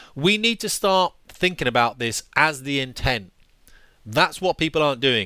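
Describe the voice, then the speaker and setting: With a British accent, a man speaks in a fairly high, bright, sharp voice with very wide pitch swings, the sound dry with no echo and the background quiet. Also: moderate pace. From England. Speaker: former fighter pilot, YouTuber. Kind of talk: angry rant. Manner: exasperated, sweary; sarcastic, forceful. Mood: annoyed, opinionated. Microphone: headset.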